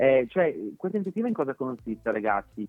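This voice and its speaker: A man at a medium pitch, talking at a very fast pace with very wide pitch swings. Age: 30s. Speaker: TV presenter. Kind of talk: interview. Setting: phone call.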